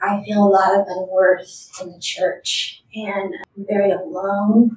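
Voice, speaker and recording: This woman has an ordinary speaking voice at a medium pitch. Her pitch varies in an ordinary way. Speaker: mentee. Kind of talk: testimony.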